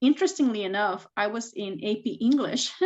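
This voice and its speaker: A woman speaks with a Spanish accent. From Mexico, moved to US at 13 (Texas, Washington). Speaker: tech executive and STEM advocate. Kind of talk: interview. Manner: hesitant, many fillers.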